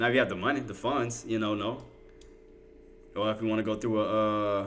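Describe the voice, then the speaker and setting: Amid noticeable background noise and audible room echo, a man with a fairly low pitch speaks with long, frequent pauses. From Louisiana. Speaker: day trader and livestream host. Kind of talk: live trading commentary with chat. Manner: casual, conversational.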